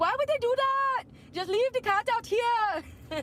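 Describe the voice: A squeaky, female-sounding put-on character voice at an extremely high pitch, fairly slow, over clear background noise. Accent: Irish.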